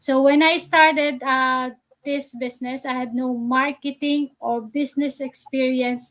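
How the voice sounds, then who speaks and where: A woman's high, monotone voice in a Filipino accent, at a fairly slow pace. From Philippines. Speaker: nurse and online business coach. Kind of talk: live stream panel discussion. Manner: hesitant, many fillers.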